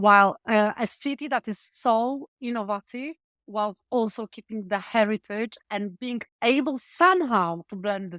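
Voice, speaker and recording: In a Polish accent, a woman speaks at a moderate pace with fairly high pitch and lively intonation, the sound dry and close with no echo in a very clean recording over a silent background. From Poland. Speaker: tech startup founder. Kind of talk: interview.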